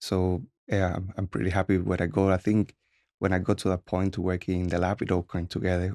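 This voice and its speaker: A man with a Spanish accent, very deep and low in pitch, dark and mellow in tone, monotone and flat, at a fairly quick pace, with a dry, close sound and no echo. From Cuba. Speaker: medical researcher. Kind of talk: interview.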